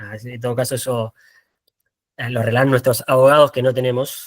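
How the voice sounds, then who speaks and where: A man's medium-pitched voice, dry and close with no echo. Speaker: photographer. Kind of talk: talk presentation. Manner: fast; halting.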